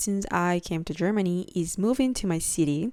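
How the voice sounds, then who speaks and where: In a Spanish accent, a woman speaks at a fairly slow pace with lively intonation on a very clean recording with a silent background. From Peru. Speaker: podcast host. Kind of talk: casual solo podcast chat. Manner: hesitant, many fillers and restarts.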